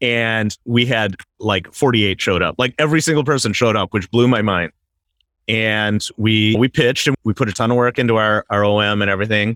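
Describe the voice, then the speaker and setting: Using an unremarkable speaking voice, a man with an American accent speaks at a medium pitch and a fairly quick pace, with fairly even intonation and very even loudness. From Wisconsin, US Midwest. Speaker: real estate investor. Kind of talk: interview.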